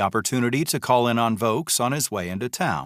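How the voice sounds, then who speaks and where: A man with an American accent talks in a normal speaking voice at a medium pitch and moderate pace. The recording is very clean, with a silent background. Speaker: audiobook narrator. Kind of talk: audiobook narration.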